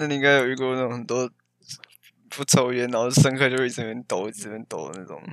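Very fast speech comes from a man. His loudness swings widely. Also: medium pitch for a man, ordinary pitch variation. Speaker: podcast co-host, engineering student. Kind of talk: casual chat.

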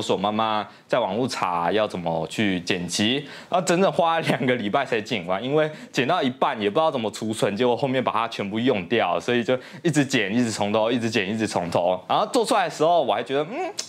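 A man speaks with a Taiwanese accent at a medium pitch. His voice makes very wide pitch swings. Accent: Taiwanese Mandarin. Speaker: YouTuber. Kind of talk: casual vlog monologue. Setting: home studio. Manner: casual, filler-heavy.

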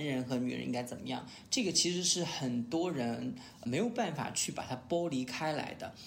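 In a room with audible echo, a man talks at a fairly quick pace with vocal fry. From Sichuan, China. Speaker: podcast host. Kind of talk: casual chat.

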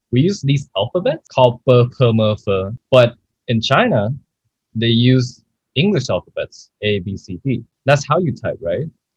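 Speaking at a moderate pace with long, frequent pauses, a man's medium-pitched, somewhat breathy voice has lively intonation and a dry, close sound with no echo. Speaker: podcast host. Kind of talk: casual chat. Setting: online call.

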